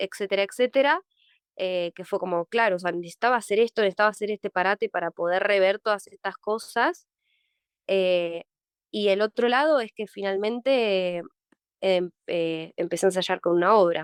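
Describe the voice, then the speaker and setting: Recorded dry and close with no echo, a woman speaks at a medium pitch and moderate pace with ordinary pitch variation. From Argentina, Mar del Plata. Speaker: actress. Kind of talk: interview. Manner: halting.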